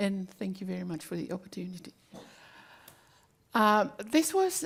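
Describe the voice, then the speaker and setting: Somewhat breathy, a woman speaks at medium pitch and a moderate pace. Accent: Tongan. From Tonga. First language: Tongan. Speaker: community leader. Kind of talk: panel discussion.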